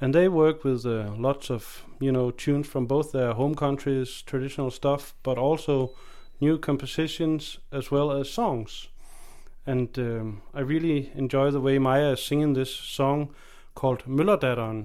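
With a Danish accent, a man speaks at a fairly slow pace in a fairly high pitch, with fairly even intonation and a dark, mellow tone, on a very clean recording with a silent background. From Denmark. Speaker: folk fiddler and guest radio presenter. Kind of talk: music radio presenting. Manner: casual with filler hesitations.

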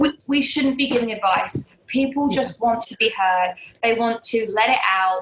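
A woman with a fairly high pitch talks at a moderate pace with ordinary pitch variation over noticeable background noise. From London, England. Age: 30s. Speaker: life coach. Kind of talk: interview conversation.

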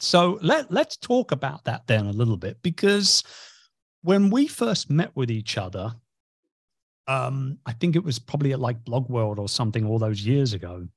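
At a moderate pace, a somewhat breathy man with a medium pitch makes very wide pitch swings. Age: 50s. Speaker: podcast host, business mentor. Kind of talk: interview podcast; promotional announcement. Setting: recording studio or video call.

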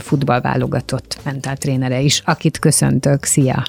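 A woman's dark, mellow tone at a fairly slow pace, in a dry, close sound with no echo. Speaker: radio host. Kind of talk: interview. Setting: studio.

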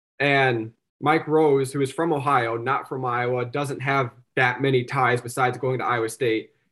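In an Upper Midwest accent, a man of medium pitch speaks at a moderate pace with monotone, flat intonation. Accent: Upper Midwest American. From South Dakota, Sioux Falls. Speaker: sports journalist. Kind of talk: casual chat.

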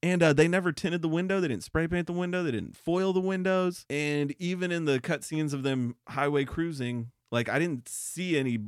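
In a very clean recording with a silent background and a dry, close sound with no echo, a man with a fairly high pitch and a plain, everyday voice talks at a moderate pace with ordinary pitch variation and hardly any pauses. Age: 30s. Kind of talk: casual chat.

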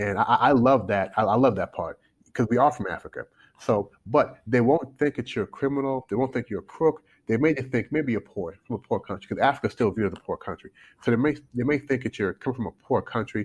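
Talking at a very fast pace, a man with a medium pitch and ordinary pitch variation sounds dry and close, with no echo. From born in Canada, raised in US South (Kentucky). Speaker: life coach. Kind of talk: candid interview conversation. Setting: remote call from China.

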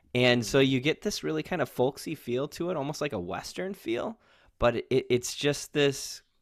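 A man with a fairly high pitch and a fairly slow pace, an ordinary speaking voice, on a very clean recording with a silent background. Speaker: podcast panelist. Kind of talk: casual chat.

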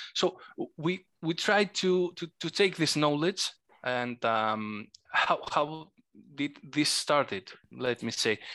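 A man's fairly high voice with a Greek accent, bright and sharp in tone, very slow in pace, with lively intonation over a very clean recording and silent background. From Greece. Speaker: board game designer. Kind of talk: casual interview. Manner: halting, hesitant.

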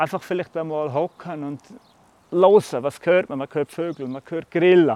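A man speaks at a fairly high pitch with big swings in loudness. The background is quiet. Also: fairly even intonation, moderate pace, dry, close sound with no echo. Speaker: farmer. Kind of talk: interview.

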